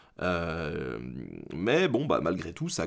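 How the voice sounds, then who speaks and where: A man's voice with vocal fry, over a quiet background. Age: 20s. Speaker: history YouTuber. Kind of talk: casual Q&A monologue. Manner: halting, many filler hesitations. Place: home room.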